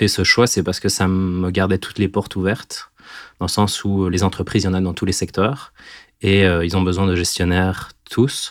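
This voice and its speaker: This is a man's voice. The recording is very clean, with a silent background. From southern Belgium, near the Ardennes. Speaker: storyteller guest. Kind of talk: personal storytelling. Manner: hesitant, many fillers.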